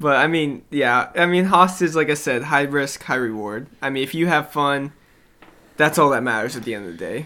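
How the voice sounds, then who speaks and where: A man with an American accent has a plain, everyday voice at a fairly high pitch, with ordinary pitch variation and a moderate pace. The recording is very clean, with a silent background. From US South and Indiana. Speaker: podcast co-host. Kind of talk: casual chat.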